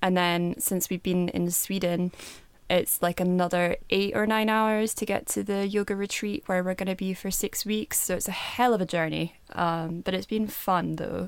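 A woman with a plain, everyday voice talks at a moderate pace and medium pitch, her intonation fairly even. The recording is very clean and the background silent. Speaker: podcast co-host. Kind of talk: casual chat.

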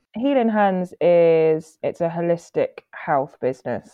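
Here a woman speaks at a fairly slow pace. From Guernsey. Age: 30s. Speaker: political candidate and cannabis campaigner. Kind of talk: interview.

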